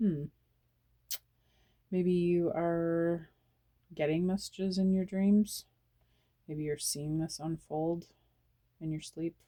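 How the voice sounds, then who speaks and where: Quiet speech moves at a very slow pace, broken by long, frequent pauses. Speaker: tarot reader. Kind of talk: tarot reading. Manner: quiet, hushed; repetitive, halting.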